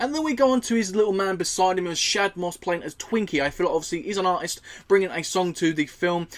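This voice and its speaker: This man talks at a very fast pace with a high pitch. His intonation is lively, and there is noticeable background noise. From UK. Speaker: movie reviewer. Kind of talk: movie review monologue. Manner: casual, filler-heavy.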